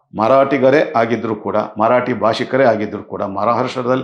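A man speaks at a medium pitch. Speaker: political commentator. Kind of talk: video monologue. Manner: halting, in short phrases.

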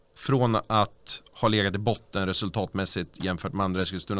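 A man's fairly low voice at a moderate pace. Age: 40s. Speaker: party official and local politician; local politician. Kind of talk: casual chat. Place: studio. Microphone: studio mic.

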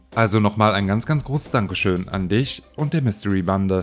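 A man talks with ordinary pitch variation. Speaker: YouTube narrator. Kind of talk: casual chat; scripted narration. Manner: halting.

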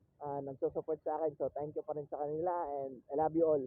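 The speaker is a man with a fairly high pitch. He talks at a fairly quick pace. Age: 20s. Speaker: motovlogger. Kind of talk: casual vlog narration. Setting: riding a motorcycle outdoors. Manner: loud; talkative. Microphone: phone mic.

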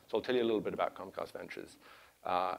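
A man speaks with a London accent. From England, London. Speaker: venture capitalist. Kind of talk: conference talk. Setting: stage with audience. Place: hall. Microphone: lapel.

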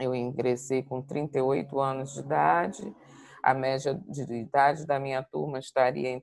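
A woman speaks at a very slow pace with a very deep, low pitch, ordinary pitch variation and big swings in loudness. The sound is dry with no echo, over a quiet background. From Brazil, Rio de Janeiro. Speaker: diplomat; guest. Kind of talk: interview. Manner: halting. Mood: reflective, personal. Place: home room. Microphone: earbuds.

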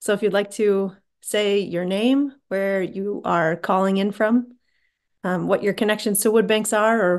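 A woman speaks at a fairly slow pace against a quiet background. Her intonation is fairly even. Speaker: meeting host. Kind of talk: meeting moderation. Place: home room. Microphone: video call.

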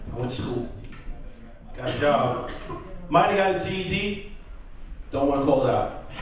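Strong room echo and light background noise surround a man at a fairly high pitch. He talks at a moderate pace with lively intonation. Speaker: stand-up comedian. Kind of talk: stand-up. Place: stage. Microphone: handheld.

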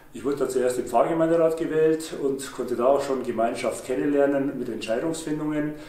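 A man with a dark, mellow tone and a medium pitch talks at a fairly quick pace with ordinary pitch variation, and some room echo is audible.

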